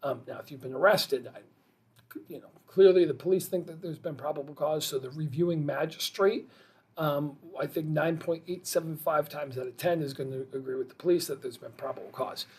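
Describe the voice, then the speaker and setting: Speaking at a fairly quick pace, a man with a fairly high pitch keeps fairly even intonation but shows big swings in loudness. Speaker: criminal defense lawyer. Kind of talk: explainer video. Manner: fast; casual, with fillers.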